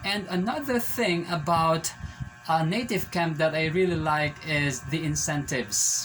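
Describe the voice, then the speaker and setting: Fairly high-pitched male voice at a fairly slow pace over music in the background. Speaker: ESL teacher. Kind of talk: casual vlog talk to camera.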